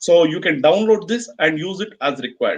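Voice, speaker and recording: Speaking at a fairly quick pace with an Indian accent, a man uses a high voice with ordinary pitch variation. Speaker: chartered accountant presenting a webinar. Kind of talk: webinar Q&A. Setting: online webinar. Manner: fast.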